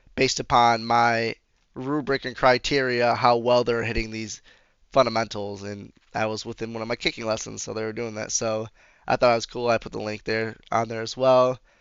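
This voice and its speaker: A man speaks at a fairly quick pace in a medium pitch, his intonation monotone and flat while his loudness swings widely. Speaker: physical education student teacher. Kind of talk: casual video presentation. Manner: casual, filler-heavy.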